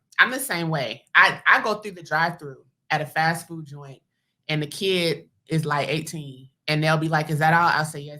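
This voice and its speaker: A woman with a very deep, low pitch and a bright, sharp tone swings widely in loudness, recorded very cleanly over a silent background. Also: ordinary pitch variation, moderate pace. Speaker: podcast host. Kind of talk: casual chat.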